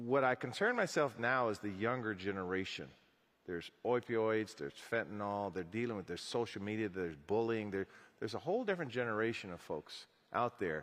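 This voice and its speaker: A man with a normal speaking voice and a medium pitch talks at a fairly quick pace with lively intonation. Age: 60s. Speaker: city mayor. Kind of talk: panel interview on stage.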